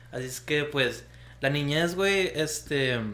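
A man speaks at a fairly high pitch with a bright, sharp tone, and audible room echo surrounds his voice. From Mexicali, Baja California, Mexico. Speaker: podcast co-host. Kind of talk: casual chat.

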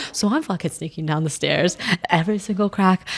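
Talking at a fairly quick pace, a woman sounds somewhat breathy. Her medium pitch shows ordinary variation. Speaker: podcast co-host. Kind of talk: casual chat.

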